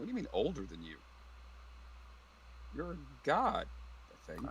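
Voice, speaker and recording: A man uses a gruff, put-on character voice at a moderate pace. Clear background noise sits behind him. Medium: actual play. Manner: gruff, blunt, profane.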